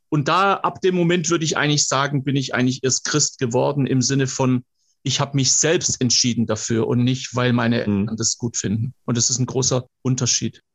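This man's voice is medium in pitch and somewhat breathy, with ordinary pitch variation. He keeps a fairly quick pace and very even loudness. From Swabia, southern Germany. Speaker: motivational speaker. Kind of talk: casual interview. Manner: animated.

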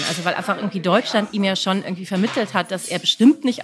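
Noticeable background noise runs through the clip. The voice is a woman's. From Düsseldorf, Germany. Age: 40s. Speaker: writer. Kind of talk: interview.

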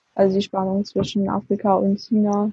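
Somewhat breathy and dark, mellow in tone, a woman speaks at a medium pitch and fairly slow pace in a monotone, flat delivery, the sound dry and close with no echo. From southern Germany, Swabia. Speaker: university student. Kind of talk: interview.

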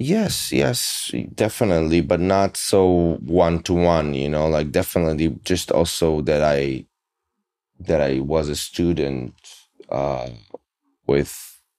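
Speaking at a fairly slow pace with long, frequent pauses, a man with a non-native accent has a very deep, low pitch, a dark, mellow tone and ordinary pitch variation. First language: not English. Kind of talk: casual interview. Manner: halting.

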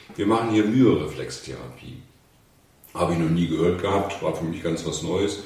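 Noticeable background noise and audible room echo surround the recording. A man with a very deep, low pitch talks at a moderate pace with ordinary pitch variation and long, frequent pauses. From northern Germany, Hannover. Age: 60s. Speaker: physiotherapist. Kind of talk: casual interview.

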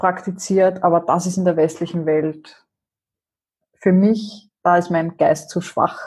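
Recorded very cleanly against a silent background, a woman speaks very slowly in a fairly low, somewhat breathy voice. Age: 40s. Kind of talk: casual interview.

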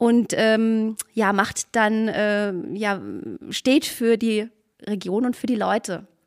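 A woman is speaking. Her pitch sits fairly high. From Spessart, Lower Franconia, Bavaria. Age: 50s. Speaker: hiking association director. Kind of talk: casual interview.

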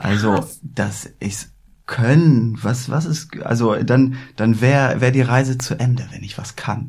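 This man's voice is somewhat breathy, medium in pitch, with fairly even intonation. He talks at a very slow pace, with big swings in loudness. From northern Germany, Hamburg. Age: 30s. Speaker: card magician. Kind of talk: casual chat. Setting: studio.

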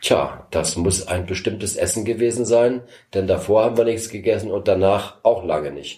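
Here a man speaks with a dark, mellow tone and a fairly low pitch. He sounds somewhat breathy and keeps a moderate pace. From East Berlin, Germany. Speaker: former political prisoner and escape helper. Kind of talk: interview testimony.

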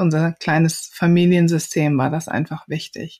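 Speaking at a moderate pace with a slight Rhineland accent, a woman has a fairly low pitch. The sound is dry and close with no echo, in a very clean recording with a silent background. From Rhineland, Germany. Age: 40s. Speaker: diversity and inclusion consultant. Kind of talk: interview conversation.

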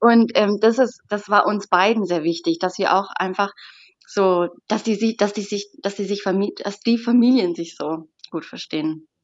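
A woman speaks in a normal speaking voice at a fairly slow pace. Her pitch is medium, with ordinary variation. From southern Germany, Stuttgart area, Sicilian parents. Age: 20s. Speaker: bride. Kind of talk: interview.

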